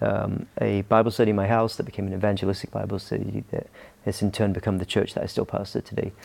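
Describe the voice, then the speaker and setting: A fairly quick-paced man with an American accent, his fairly low pitch carrying vocal fry and fairly even intonation. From Scotland. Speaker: pastor. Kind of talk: interview.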